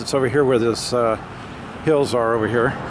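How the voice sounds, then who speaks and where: A man's voice amid noticeable background noise. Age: 60s. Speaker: amateur history vlogger. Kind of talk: casual vlog narration. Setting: outdoors by a busy road. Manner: hesitant, many filler words.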